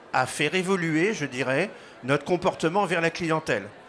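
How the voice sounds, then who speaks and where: At a moderate tempo, a man talks in a fairly high register. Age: 60s. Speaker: business school co-founder and director. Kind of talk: interview.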